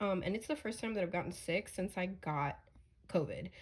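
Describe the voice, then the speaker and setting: The voice is a woman's and somewhat breathy. She speaks at a fairly quick pace. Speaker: tarot reader. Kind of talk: casual chat. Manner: rambling with many fillers.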